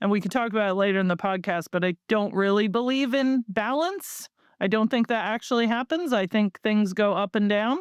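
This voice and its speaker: A woman with an American accent and an ordinary speaking voice, fairly high in pitch, at a fairly quick pace with hardly any pauses, ordinary pitch variation and very even loudness, the sound dry and close with no echo over a quiet background. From United States. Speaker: marketing agency founder. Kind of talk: podcast interview.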